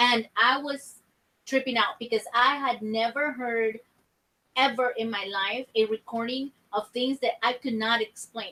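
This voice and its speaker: A woman speaks loudly at a high pitch in a bright, sharp tone. Her pace is fairly slow. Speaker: paranormal investigator. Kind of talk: casual chat.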